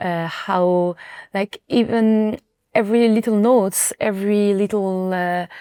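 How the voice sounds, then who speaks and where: A woman with a French accent speaks at a fairly slow pace, with medium pitch and fairly even intonation. Her tone is dark and mellow, in a dry, close sound with no echo. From France. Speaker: singer. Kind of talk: interview. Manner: halting.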